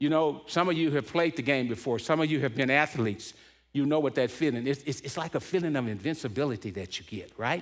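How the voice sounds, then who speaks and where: In a very clean recording with a silent background, a man speaks very fast in a fairly high voice with ordinary pitch variation. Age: 70s. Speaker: motivational speaker at church men's event. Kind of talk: inspirational talk with personal story. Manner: animated storytelling; repeats words when excited.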